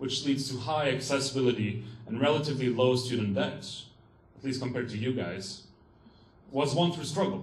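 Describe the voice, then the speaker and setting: At a fairly quick pace broken by long, frequent pauses, a man talks at medium pitch with ordinary pitch variation and audible room echo. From Quebec, Montreal. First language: French. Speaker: student activist. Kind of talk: conference talk read from notes. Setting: stage with audience.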